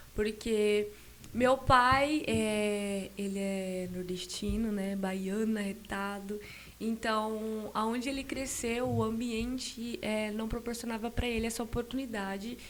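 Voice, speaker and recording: Over noticeable background noise and audible room echo, a woman speaks at a very slow pace in a fairly high pitch with fairly even intonation. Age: 20s. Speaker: churchgoer telling her life story. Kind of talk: podcast interview testimony. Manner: hesitant, many fillers.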